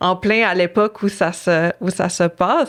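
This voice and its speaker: Against a quiet background, a woman speaks at a very slow pace with a fairly low pitch and fairly even intonation. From Innu community, Quebec. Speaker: author. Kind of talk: interview. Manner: halting, many fillers.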